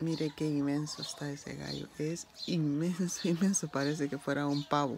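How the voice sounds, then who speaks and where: A woman's very deep, low voice at a moderate pace. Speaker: vlogger. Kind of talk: casual vlog narration. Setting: outdoors at home with animals. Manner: animated.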